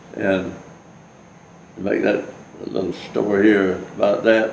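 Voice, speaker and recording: Against noticeable background noise and audible room echo, a man speaks at a moderate pace in a fairly low pitch with monotone, flat intonation. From US South. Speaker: war veteran. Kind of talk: oral history interview. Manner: halting.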